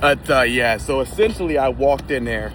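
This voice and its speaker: There is noticeable background noise. Over it, a man speaks in an animated tone at a moderate pace. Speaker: vlogger. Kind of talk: casual vlog chat. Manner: loud.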